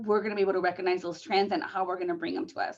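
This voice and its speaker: Her voice, a woman's, sits at a medium pitch. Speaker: conference presenter on senior services. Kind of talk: conference presentation over video call. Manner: fast; many filler words and repetitions.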